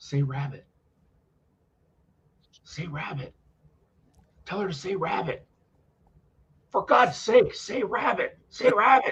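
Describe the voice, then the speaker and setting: A raspy, whispered put-on character voice, fairly slow, with long and frequent pauses. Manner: whispering.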